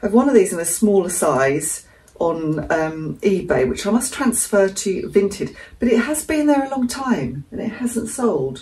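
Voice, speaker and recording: A woman's medium-pitched voice with an English accent, at a moderate pace with very wide pitch swings. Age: 60s. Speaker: frugal living vlogger. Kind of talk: casual vlog talk. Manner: chatty, conversational.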